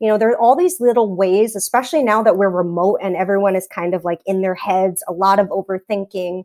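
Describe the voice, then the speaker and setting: Fairly quick, fairly even speech from a woman at a medium pitch. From New York, Staten Island. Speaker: teacher. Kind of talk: casual chat.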